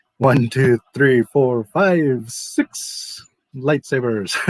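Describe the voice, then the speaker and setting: A man puts on a character voice, pitched at a medium level and delivered at a very slow pace. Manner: playful, deliberate counting.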